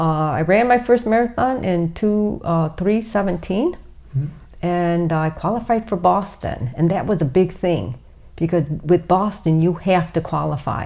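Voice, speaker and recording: A woman with an American accent and a plain, everyday voice, fairly low in pitch, at a fairly slow pace with ordinary pitch variation. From Toledo, Ohio, US Midwest. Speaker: ultra distance runner. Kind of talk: casual interview.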